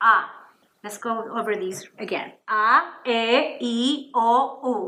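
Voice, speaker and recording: Audible room echo surrounds a woman's voice. Her tone is bright and sharp, with a fairly high pitch. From Puerto Rico. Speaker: Spanish teacher. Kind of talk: lesson for children. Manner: slow, clear enunciation.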